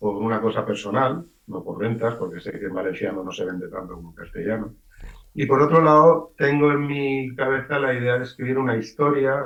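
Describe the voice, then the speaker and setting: The man speaks with ordinary pitch variation. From Valencian-speaking eastern Spain. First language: Valencian (speaking Spanish). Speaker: writer. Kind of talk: radio interview.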